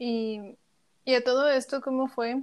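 Her voice is high in pitch, and this woman speaks in a flat monotone. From Chiapas, Mexico. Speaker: podcast host. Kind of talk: interview.

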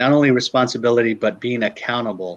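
At a moderate pace, a man with an American accent talks at a medium pitch with ordinary pitch variation. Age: 50s. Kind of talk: interview.

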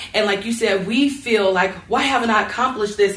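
A woman with an American accent speaks very fast at a fairly high pitch, her intonation fairly even, over noticeable background noise. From North Las Vegas, Nevada. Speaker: local government official. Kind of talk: panel discussion. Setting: stage with audience.

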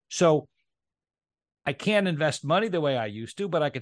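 A man at a moderate pace, in a dry, close sound with no echo and a quiet background. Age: 50s. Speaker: insurance agency owner and former financial advisor. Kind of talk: interview. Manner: halting, with frequent repetitions.

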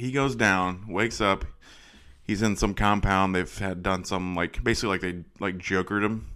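In a very clean recording with a silent background, a man talks at a moderate pace with fairly low pitch and a bright, sharp tone. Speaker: podcast host. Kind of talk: casual banter about movies.

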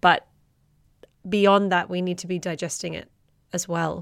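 At a moderate pace, a woman with an Australian accent talks at a fairly low pitch in a monotone, flat intonation. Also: very clean recording, silent background. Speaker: podcast host. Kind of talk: interview conversation.

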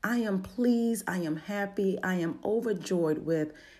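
At a fairly slow pace, a woman with a medium pitch, a dark, mellow tone and a slight Baltimore accent speaks with lively intonation. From Baltimore, Maryland. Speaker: motivational speaker and podcast host. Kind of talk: motivational talk.

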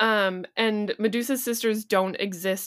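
A normal speaking voice at a fairly slow pace, with fairly even intonation, in a very clean recording with a silent background. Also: woman. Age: 20s. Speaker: podcast co-host. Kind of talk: casual chat.

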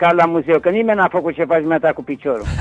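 The speech is very fast, with ordinary pitch variation. Music plays in the background, and the sound is dry and close with no echo. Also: man. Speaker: retired football player and coach. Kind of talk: phone interview.

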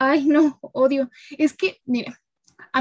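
Her voice has a dark, mellow tone. The sound is dry and close, with no echo. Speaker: communication student. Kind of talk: casual chat.

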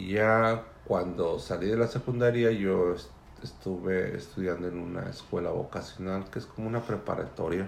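A man with a fairly low pitch speaks at a moderate pace with fairly even intonation, and audible room echo surrounds his voice. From Mexico City area. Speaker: immigrant father interviewed by daughter. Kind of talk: family interview.

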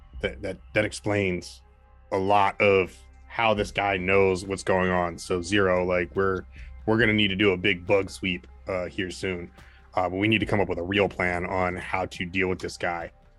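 Doing a put-on character voice, a man speaks quietly in a very deep, low, raspy voice at a moderate pace with fairly even intonation, as faint music plays in the background. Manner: hushed, low voice.

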